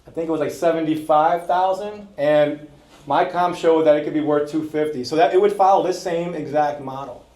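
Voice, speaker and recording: A man with a fairly high pitch at a very fast pace, amid audible room echo. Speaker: real estate investor. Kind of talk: presentation to an audience.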